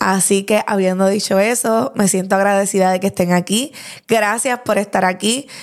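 A woman's medium-pitched voice at a moderate pace, with fairly even intonation and very even loudness. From Puerto Rico, Lares (rural mountain town). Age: 20s. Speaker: podcast host. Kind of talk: casual solo podcast monologue.

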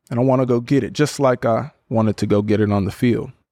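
With an American accent, a man speaks fairly quickly at a medium pitch in a dark, mellow tone with fairly even intonation, the sound dry and close with no echo. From US West Coast (Portland, Oregon). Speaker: podcast host and NFL football player. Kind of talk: solo podcast reflection.

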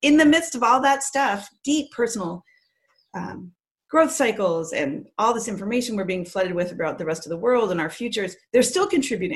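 Fairly quick, somewhat breathy speech from a woman with an American accent, a fairly high pitch and very wide pitch swings. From Canada, then Massachusetts from age 10. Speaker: PR agency owner and poet. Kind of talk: casual interview.

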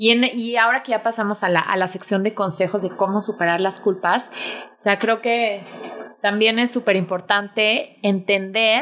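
Speaking in a plain, everyday voice, a woman talks at a moderate pace in a medium pitch. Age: 30s. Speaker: podcast host and mother. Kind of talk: casual chat.

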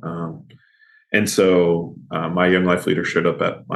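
With audible room echo, a man speaks at a fairly slow pace and a very deep, low pitch. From Kentucky. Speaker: pastor. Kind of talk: interview conversation.

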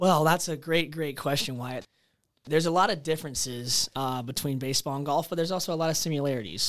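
A man with an American accent at a very fast pace, fairly high in pitch with ordinary variation, on a very clean recording with a silent background. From Charleston, South Carolina. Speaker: podcast host, golf instructor. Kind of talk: casual chat.

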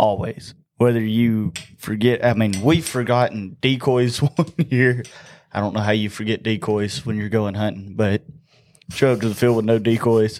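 A man's medium-pitched voice in a Southern US accent, moderate in pace, with fairly even intonation. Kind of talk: casual chat.

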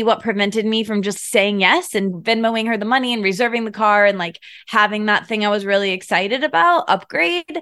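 Fairly quick and fairly high, a woman with an American accent speaks with ordinary pitch variation. It is an unremarkable speaking voice over a quiet background. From US Midwest, Michigan. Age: 30s. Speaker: podcast host and writer. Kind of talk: casual chat.

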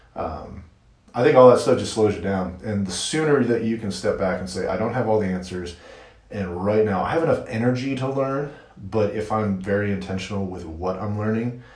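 Amid noticeable background noise and audible room echo, a man speaks at a fairly low pitch with ordinary pitch variation. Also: fairly quick pace. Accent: American. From US Midwest, Michigan. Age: 40s. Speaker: marketer and podcaster. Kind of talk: interview.

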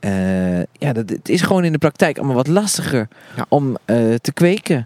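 At a moderate pace, a man talks with very wide pitch swings, the sound dry and close with no echo. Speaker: gardening podcast co-host, allotment gardener. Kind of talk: casual chat during a garden tour. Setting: outdoors in an allotment garden.

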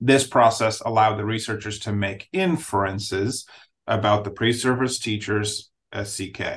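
A man's somewhat breathy voice at fairly low pitch and a fairly slow pace, over a quiet background. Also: ordinary pitch variation. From Nigeria. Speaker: school district administrator, podcast co-host. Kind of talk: academic discussion podcast. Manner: halting, many fillers.

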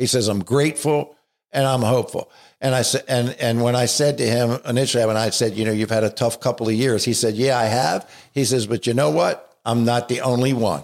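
An American-accented man at a fairly quick pace, fairly even intonation, on a very clean recording with a silent background. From Baltimore, US. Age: 60s. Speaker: addiction treatment director. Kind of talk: casual interview.

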